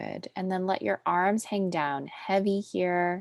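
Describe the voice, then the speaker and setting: A woman speaks at a fairly slow pace in a soothing tone, her fairly low pitch moving with ordinary variation in a dry, close sound with no echo. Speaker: pilates instructor. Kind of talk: fitness class instruction; casual chat. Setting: video call.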